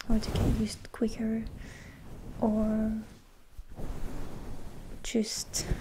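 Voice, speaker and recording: A soft-spoken woman with a gentle tone talks at a fairly high pitch. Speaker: ASMR creator. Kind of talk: ASMR positive affirmation pep talk. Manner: soft-spoken, gentle, reassuring.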